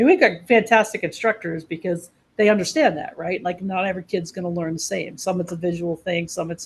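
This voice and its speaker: Speaking at a very fast pace, a woman with an American accent sounds somewhat breathy. Her pitch varies in an ordinary way. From New York. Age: 60s. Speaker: trade school executive. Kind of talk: podcast interview.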